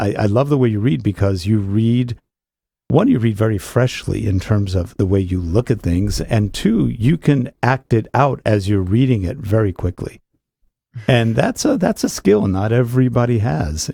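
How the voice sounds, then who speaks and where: Dry and close with no echo, a man's voice has a dark, mellow tone and fairly low pitch. He talks at a moderate pace, somewhat breathy, with ordinary pitch variation. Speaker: podcast host. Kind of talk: podcast interview talk.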